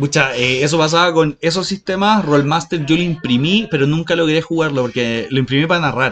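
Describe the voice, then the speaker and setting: A man with a Chilean accent speaks at a fairly quick pace with hardly any pauses and very even loudness. His pitch is fairly high, with ordinary variation. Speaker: podcast co-host. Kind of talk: casual chat. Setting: in a shop.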